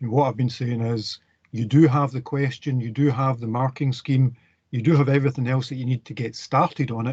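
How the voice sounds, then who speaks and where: Somewhat breathy male voice at a medium pitch, monotone and flat, at a fairly quick pace. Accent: Scottish. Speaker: university lecturer. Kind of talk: lecture.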